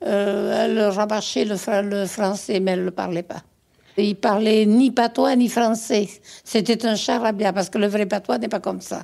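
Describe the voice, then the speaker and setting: At a fairly slow pace, a woman with a medium pitch and a dark, mellow tone speaks with vocal fry and fairly even intonation. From Gironde, southwest France. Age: 80s+. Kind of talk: interview answer. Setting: 1970s radio archive.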